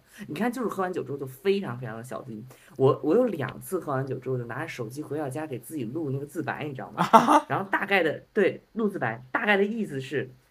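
The pitch swings very widely at a very fast pace with hardly any pauses. Music plays in the background. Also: man, fairly high pitch for a man. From Beijing. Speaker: podcast guest. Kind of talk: casual chat.

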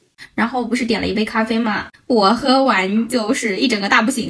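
With noticeable background noise, a woman speaks at a moderate pace in a fairly high pitch with ordinary pitch variation. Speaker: podcast co-host; bank teller. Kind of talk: casual chat.

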